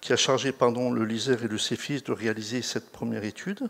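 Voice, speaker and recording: The recording is very clean and the background silent. A man rattles along at a very fast pace. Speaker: researcher presenting a study. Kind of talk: conference talk. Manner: halting, many fillers and restarts.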